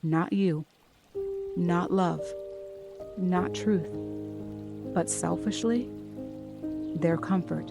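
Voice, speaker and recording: Soft-spoken and gentle in tone, the voice moves at a very slow pace with long, frequent pauses while music plays in the background. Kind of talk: guided healing meditation voiceover. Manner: gentle, soft, calming.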